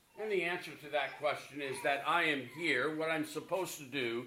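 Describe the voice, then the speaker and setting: Audible room echo around a man's voice, fairly high in pitch, with ordinary pitch variation. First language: English (speaking German). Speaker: preacher. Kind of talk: sermon.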